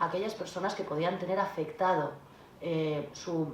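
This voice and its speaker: Fairly even intonation with audible room echo and noticeable background noise. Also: woman. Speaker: notary. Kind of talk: panel talk at a conference. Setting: conference hall. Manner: very fast.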